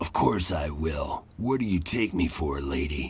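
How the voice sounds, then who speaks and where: In a put-on character voice, a man speaks raspy and very deep at a moderate pace. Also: lively intonation. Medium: video game. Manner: cocky, casual.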